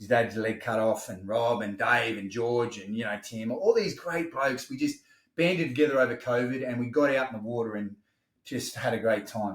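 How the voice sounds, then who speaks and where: A man speaks at a moderate pace in an Australian accent, his pitch medium. His loudness swings widely. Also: ordinary pitch variation. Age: 50s. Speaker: wellness business owner. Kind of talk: podcast interview. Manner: animated.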